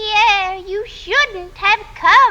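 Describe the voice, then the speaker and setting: A woman's put-on character voice, squeaky, nasal and shrill, with an extremely high pitch, a whiny tone and clear background noise. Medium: short film. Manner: whiny, petulant.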